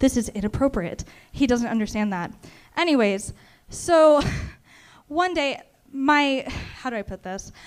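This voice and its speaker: A woman with an American accent speaks at a moderate pace, her pitch high and her intonation lively. She leaves long, frequent pauses. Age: 20s. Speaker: first-time comedian. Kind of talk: stand-up. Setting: stage with audience.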